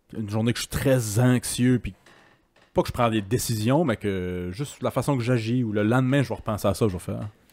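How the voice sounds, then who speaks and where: Fairly quick pacing and ordinary pitch variation from a man. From Quebec. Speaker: podcast host; podcast host or guest. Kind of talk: casual chat. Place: home room. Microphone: handheld.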